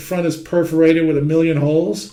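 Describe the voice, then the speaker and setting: In a room with audible echo, a man with a New York accent talks fairly quickly at a fairly high pitch. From New York City (Manhattan). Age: 60s. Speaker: heating trade teacher. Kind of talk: lecture. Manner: conversational.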